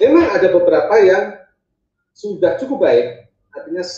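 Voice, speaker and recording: A man talks at a moderate pace. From Indonesia, Yogyakarta (Bantul). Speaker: government official, ministry director. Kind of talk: webinar lecture. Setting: video call.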